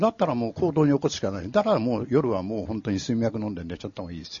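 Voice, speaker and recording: Talking at a very fast pace, a man with a medium-pitched, somewhat breathy voice uses lively intonation. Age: 70s. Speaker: author. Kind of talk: live talk event interview. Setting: stage with audience.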